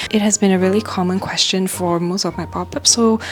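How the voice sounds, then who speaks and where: The woman speaks in a whisper. Background noise is noticeable behind her. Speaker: small business owner vlogger. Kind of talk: vlog tutorial walkthrough. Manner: whispering.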